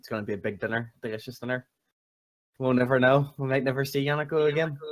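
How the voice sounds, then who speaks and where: With an Irish accent, this man talks very fast at a medium pitch, his loudness swinging widely while his intonation stays fairly even. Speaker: community talk show co-host. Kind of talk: casual chat.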